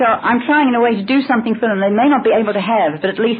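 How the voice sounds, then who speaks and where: Over noticeable background noise, a woman talks at a very fast pace, her fairly high pitch carrying lively intonation. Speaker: voice teacher. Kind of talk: audience question at channeling session.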